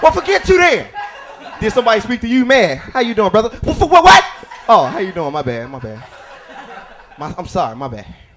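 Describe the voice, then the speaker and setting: Speaking in an American accent at a high pitch, a man makes very wide pitch swings and big swings in loudness, with long, frequent pauses over noticeable background noise. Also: fairly quick pace. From US Midwest, South Side Chicago. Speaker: stand-up comedian. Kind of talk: stand-up. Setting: stage with audience.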